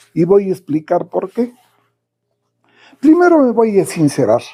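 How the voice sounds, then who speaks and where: This man has a high pitch. His tone is dark and mellow. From Mexico, Toluca. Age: 80s+. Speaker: sports commentator. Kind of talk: casual monologue.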